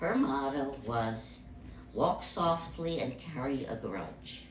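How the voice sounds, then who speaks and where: A woman with a very deep, low pitch talks at a very slow pace with lively intonation. There is audible room echo and noticeable background noise. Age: 80s+. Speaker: stand-up comedian. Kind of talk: stand-up. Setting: stage with audience.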